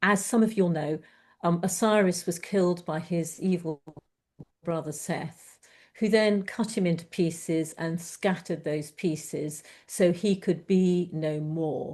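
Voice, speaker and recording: With a plain, everyday voice, a woman speaks at a fairly low pitch and fairly slow pace, her intonation fairly even against a quiet background. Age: 60s. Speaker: poet. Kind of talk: interview with poetry reading.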